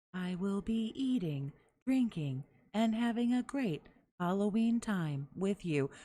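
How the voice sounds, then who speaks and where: A woman puts on a robotic character voice at medium pitch, speaking at a fairly slow pace. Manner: mocking, mechanical.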